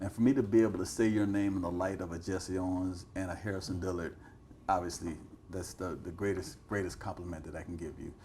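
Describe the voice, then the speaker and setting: In an American accent, a dark, mellow, somewhat breathy voice speaks at a very fast pace with fairly even intonation and big swings in loudness. Audible room echo is present. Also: man, very deep, low pitch for a man. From Cleveland, Ohio. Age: 60s. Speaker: interviewer, former coach and teacher. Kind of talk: interview.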